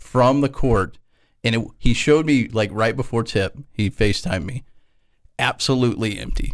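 Speaking at a moderate pace, a man has an ordinary speaking voice at medium pitch with ordinary pitch variation, on a very clean recording with a silent background. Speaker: radio co-host. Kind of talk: casual sports-radio banter. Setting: radio studio. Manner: relaxed, bantering.

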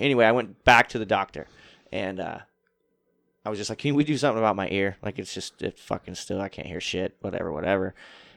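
A mumbling man at a very fast pace, with a dry, close sound, no echo, a very clean recording and a silent background. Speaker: touring metal drummer. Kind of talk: casual chat. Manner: not loud.

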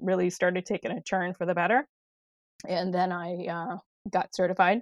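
A woman's fairly low voice in a Wisconsin accent, dry and close with no echo, against a quiet background. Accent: Upper Midwest (Wisconsin). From Wisconsin, De Pere. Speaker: acupressure practitioner. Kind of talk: interview.

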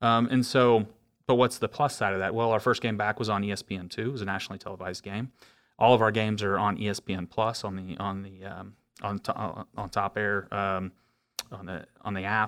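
With an American accent, a plain, everyday voice moves at a fairly quick pace with fairly even intonation on a very clean recording with a silent background. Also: man, fairly low pitch for a man. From Oklahoma. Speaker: pro soccer club executive. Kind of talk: interview.

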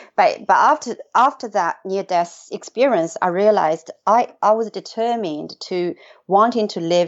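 A woman speaks with a Chinese accent. Her pitch varies in an ordinary way. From China. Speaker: executive coach and author. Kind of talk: interview. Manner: frequent fillers and hesitations.

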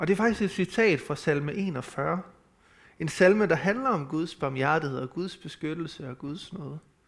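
A man with a fairly high voice uses lively intonation as he speaks at a fairly slow pace. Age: 30s. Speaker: preacher. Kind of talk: sermon. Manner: halting.

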